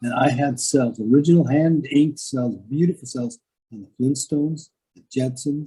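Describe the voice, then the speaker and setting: A man with an American accent talks at a fairly slow pace. His voice is dark, mellow and somewhat breathy. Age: 70s. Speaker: animation artist. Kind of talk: interview storytelling. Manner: halting, with many repeated words.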